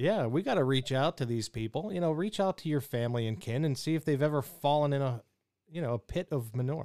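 Recorded with a dry, close sound and no echo, a man talks at a fairly quick pace with lively intonation. His voice is fairly high in pitch and dark and mellow in tone. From Pittsburgh. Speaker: radio show host. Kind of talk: casual chat.

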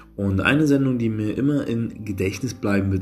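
A man's voice with ordinary pitch variation and audible room echo. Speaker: podcaster and media student. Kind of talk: solo podcast monologue. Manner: calm, quieter than usual.

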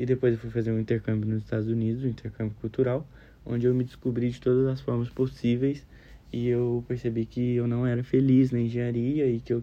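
Speaking very fast in a dark, mellow tone, a man keeps his medium pitch in a monotone, flat intonation. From Brazil, Minas Gerais. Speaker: psychology student. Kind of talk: recorded class assignment. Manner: casual.

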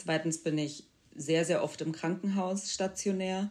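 With an unremarkable speaking voice, a woman talks at a moderate pace using fairly even intonation. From Bavaria, Germany. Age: 20s. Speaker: podcast guest with multiple sclerosis. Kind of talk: interview.

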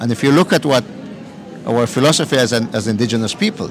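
Over noticeable background noise, a man speaks at medium pitch with ordinary pitch variation. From southern Belize, Maya community. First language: Q'eqchi' Maya. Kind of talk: interview. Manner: halting.

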